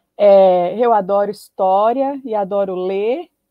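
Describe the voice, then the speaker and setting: A woman's voice at medium pitch. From Brazil, Paraíba interior (Northeast). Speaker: history professor and book editor. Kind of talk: academic talk. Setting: live stream.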